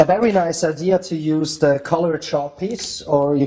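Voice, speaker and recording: Speaking with a German accent, a man uses a fairly high pitch and a dark, mellow tone at a fairly slow pace with ordinary pitch variation. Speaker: magician. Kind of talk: tutorial. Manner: halting.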